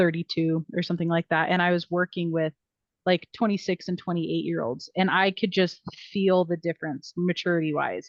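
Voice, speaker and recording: Fairly low in pitch, a woman with an unremarkable speaking voice talks at a fairly quick pace. The sound is dry and close, with no echo. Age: 30s. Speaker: podcast co-host. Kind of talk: casual chat.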